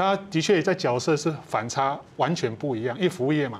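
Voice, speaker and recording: The speaker talks at a moderate pace with ordinary pitch variation. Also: man. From Taiwan, Amis, Hualien; Taiwan. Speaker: retired police officer and restaurant owner. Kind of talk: TV panel interview; interview answer. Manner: halting, many 'ah' fillers. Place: studio.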